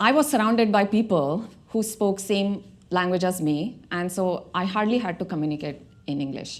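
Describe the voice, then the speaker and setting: A woman with an Indian accent, medium pitch, lively intonation and a moderate pace. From India, Mumbai. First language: Marathi. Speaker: tech director. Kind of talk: TEDx talk.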